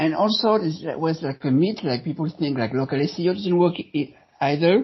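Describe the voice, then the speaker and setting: Speaking with a French accent, a man with a fairly high voice uses lively intonation at a moderate pace. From France. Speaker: SEO consultant. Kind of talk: podcast interview. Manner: halting.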